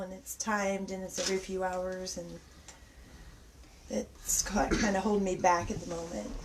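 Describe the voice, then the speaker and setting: A woman talks fairly quickly as noticeable noise carries on in the background. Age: 40s. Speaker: special effects makeup artist. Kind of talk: casual interview chat. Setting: livestream from a basement. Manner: halting.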